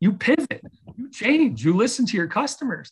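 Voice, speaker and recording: In a very clean recording with a silent background, a man with an American accent speaks at a moderate pace with lively intonation. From Chicago, US Midwest. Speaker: venture capital investor. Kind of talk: interview.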